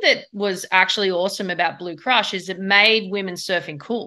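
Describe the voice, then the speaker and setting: A woman with an Australian accent, medium pitch, a bright, sharp tone and a moderate pace. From Australia, Sydney. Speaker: surfing league executive and former pro surfer. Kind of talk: interview.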